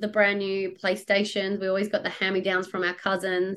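In an Australian accent, a woman speaks at a moderate pace with medium pitch. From Australia, Perth. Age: 30s. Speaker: money coach. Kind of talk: interview.

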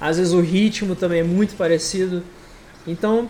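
Noticeable background noise is present throughout. The man talks with fairly even intonation. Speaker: podcast host and moderator. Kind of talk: casual chat.

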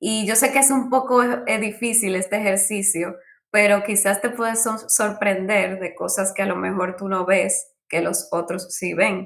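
At a fairly slow pace, this plain, everyday voice carries ordinary pitch variation. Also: woman, medium pitch for a woman. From Dominican Republic. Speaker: UX designer, former architect. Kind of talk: interview.

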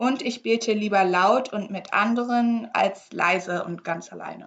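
Her pitch is in the middle range, and the woman's voice rises and falls in an ordinary way. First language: English (speaking German). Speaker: podcast co-host. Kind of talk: casual chat.

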